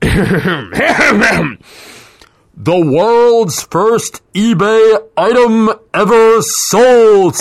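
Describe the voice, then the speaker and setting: This is a put-on character voice with a fairly high pitch. It moves at a very slow pace. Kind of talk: announcer voice.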